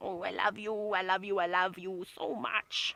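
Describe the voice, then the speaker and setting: Someone uses a put-on character voice at a middle pitch, moving at a moderate pace with monotone, flat intonation. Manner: affectionate, cooing.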